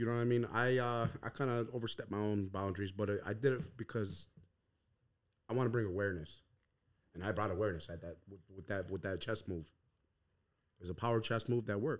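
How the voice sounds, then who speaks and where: Someone with an American accent talks at a fairly quick pace, broken by long, frequent pauses. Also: man. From Tuscarora Nation, New York. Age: 30s. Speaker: podcast founder and entrepreneur. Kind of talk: casual interview, life story.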